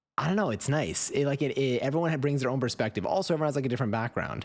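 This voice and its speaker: A man with an American accent, in a very clean recording over a silent background. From New York. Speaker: streamer. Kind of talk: casual chat. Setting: live stream. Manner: halting.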